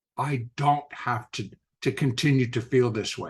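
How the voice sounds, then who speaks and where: Against a quiet background, the speaker uses an animated tone at a fairly slow pace. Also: man. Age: 60s. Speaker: podcast host and trader. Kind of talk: casual interview chat.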